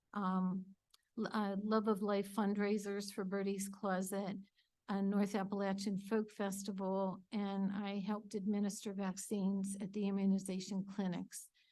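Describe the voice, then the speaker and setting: A woman with an American accent speaks at a medium pitch in a dark, mellow tone, her intonation monotone and flat, with audible room echo. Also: moderate pace. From Pennsylvania (Erie). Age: 70s. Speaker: retired nurse applying for council seat. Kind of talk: public comment at council meeting. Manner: hesitant, many fillers.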